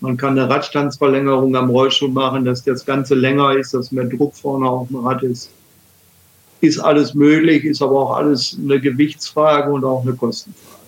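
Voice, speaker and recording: A man with a medium pitch, monotone, flat intonation and a moderate pace. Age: 60s. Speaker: wheelchair user and former Paralympic table tennis player. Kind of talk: casual interview.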